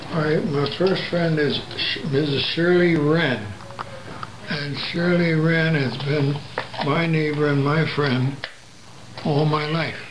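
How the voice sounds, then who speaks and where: With long, frequent pauses and a very slow pace, a man of fairly high pitch keeps fairly even intonation amid audible room echo and noticeable background noise. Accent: American. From New Jersey, Plainfield. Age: 80s+. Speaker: civil rights veteran. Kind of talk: interview.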